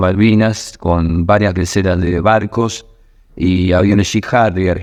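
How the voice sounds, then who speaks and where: Someone speaks at a very slow pace with fairly even intonation in a Rioplatense accent. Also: man. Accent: Argentine Rioplatense Spanish. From Argentina, southern Santa Fe (Villa Constitución). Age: 60s. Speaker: war veteran. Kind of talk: testimony. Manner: hesitant, with fillers.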